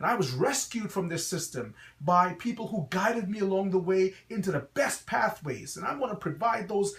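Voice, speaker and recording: A high-pitched man with a slight Guyanese accent at a fairly quick pace. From Guyana, West Indies. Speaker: pastor and school founder. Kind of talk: promotional address. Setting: website video.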